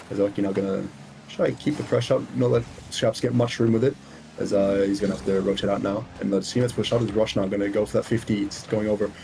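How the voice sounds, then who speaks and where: A man with an American accent at a very fast pace and fairly low pitch, with noticeable background noise. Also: ordinary pitch variation. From Israel. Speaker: esports caster. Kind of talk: live commentary.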